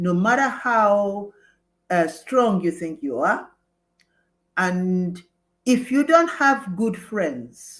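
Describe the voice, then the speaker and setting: A woman speaks very slowly with a Nigerian accent. The recording is very clean, with a silent background. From Nigeria (Igbo). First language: Igbo. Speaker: former mayor, nurse, midwife and lawyer. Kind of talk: interview. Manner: halting.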